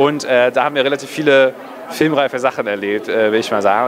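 A man talks at a very fast pace in a medium-pitched voice. His pitch varies in an ordinary way, with crowd noise in the background. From northern Germany, near Kiel; northern Germany. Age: 20s. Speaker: film director. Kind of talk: casual interview. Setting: cinema premiere event. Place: hall. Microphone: handheld.

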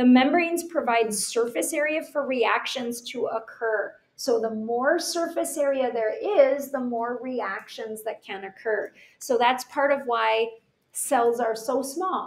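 A woman speaks in a high voice at a fairly slow pace. Her pitch varies in an ordinary way. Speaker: teacher. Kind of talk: lecture. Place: home room. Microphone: webcam.

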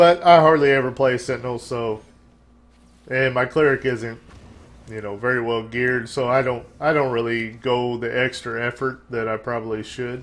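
A man is speaking. His pace is moderate and his intonation fairly even. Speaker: gaming YouTuber. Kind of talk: gameplay commentary. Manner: low energy.

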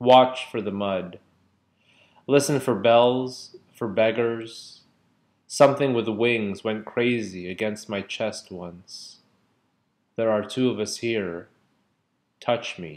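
A man's voice, very slow, with ordinary pitch variation and big swings in loudness. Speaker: poetry reader. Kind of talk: poetry reading. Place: home room. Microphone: webcam.

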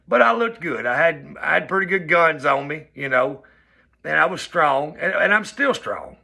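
A man with a Southern US accent, a fairly high pitch and a bright, sharp tone, with lively intonation at a moderate pace against a quiet background. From US South. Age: 40s. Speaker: vlogger. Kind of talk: personal vlog monologue. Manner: casual, conversational. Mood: upbeat, earnest. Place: home room. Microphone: phone near.

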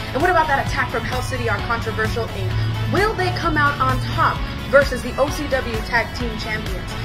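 A woman talking fairly quickly over loud background music. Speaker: wrestling ring announcer. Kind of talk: wrestling promotion news announcement.

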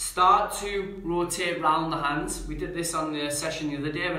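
A man speaks with fairly even intonation against audible room echo. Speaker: yoga instructor. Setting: live stream, talking to viewers online. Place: home room. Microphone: camera far.

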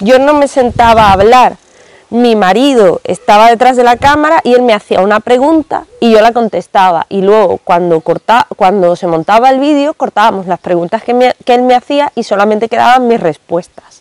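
Lively intonation marks a woman's speech at a moderate pace. The background is quiet and the sound dry with no echo. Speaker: book vlogger. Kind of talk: casual vlog chat. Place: garden. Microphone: lapel.

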